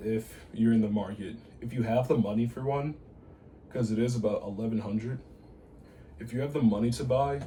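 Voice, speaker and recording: A somewhat breathy man speaks with ordinary pitch variation, his voice carrying audible room echo. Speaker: bass player reviewing gear. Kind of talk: casual gear review. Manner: halting, with restarts.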